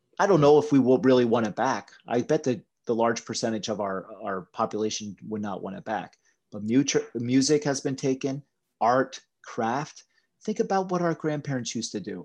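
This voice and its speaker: In an ordinary speaking voice, a man with an American accent talks at a moderate pace and medium pitch with lively intonation. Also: quiet background. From US, Pennsylvania Appalachia. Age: 40s. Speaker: kettlebell coach. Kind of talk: casual chat.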